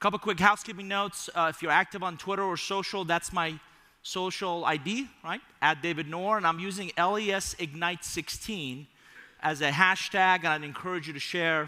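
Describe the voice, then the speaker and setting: With an animated tone, a man speaks at a moderate pace in a high pitch for a man, his pitch varying in an ordinary way. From Iran. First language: Persian. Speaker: keynote speaker. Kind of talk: keynote speech. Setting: stage with audience.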